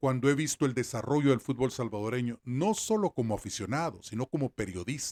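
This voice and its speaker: Using an unremarkable speaking voice, a man talks at a fairly quick pace with hardly any pauses, a medium pitch and lively intonation. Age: 60s. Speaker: sports journalist. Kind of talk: opinion commentary monologue.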